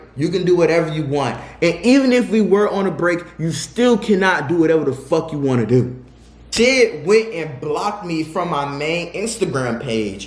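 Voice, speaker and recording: Amid noticeable background noise and audible room echo, a man with a high pitch and very wide pitch swings talks at a moderate pace. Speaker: YouTuber telling personal stories. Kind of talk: storytime monologue.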